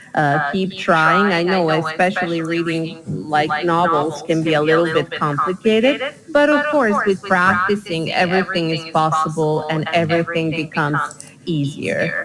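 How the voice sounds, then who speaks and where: A woman speaks in a Bosnian accent at a fairly low pitch. Noticeable background noise runs behind her. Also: fairly even intonation, moderate pace, hardly any pauses. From Bosnia and Herzegovina. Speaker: English teacher. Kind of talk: online English lesson.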